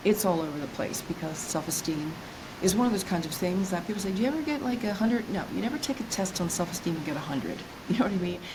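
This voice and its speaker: The voice moves at a very fast pace with lively intonation. Noticeable background noise and audible room echo fill the recording. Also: woman, medium pitch for a woman. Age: 60s. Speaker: self-esteem coach. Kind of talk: interview.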